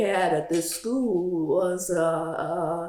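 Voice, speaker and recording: Over noticeable background noise, a woman with an American accent speaks at a fairly low pitch. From Louisiana, USA. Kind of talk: interview answer.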